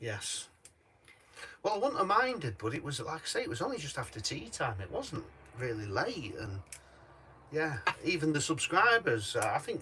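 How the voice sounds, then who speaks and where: Noticeable background noise sits behind a man speaking at a fairly high pitch and a moderate pace. His pitch swings very widely, and he takes long, frequent pauses. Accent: Yorkshire. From Yorkshire. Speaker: vlogger. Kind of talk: casual chat.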